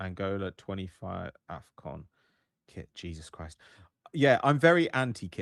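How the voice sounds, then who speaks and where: The man's pitch swings very widely and his loudness jumps a lot. The very clean recording has a silent background and a dry, close sound with no echo. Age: 30s. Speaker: football podcast host. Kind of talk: livestream watch party chat. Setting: livestream. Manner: animated, casual.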